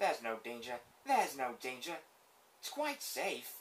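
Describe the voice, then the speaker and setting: This is a man doing a put-on character voice. He holds a medium pitch at a moderate pace. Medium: dub. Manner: excitable.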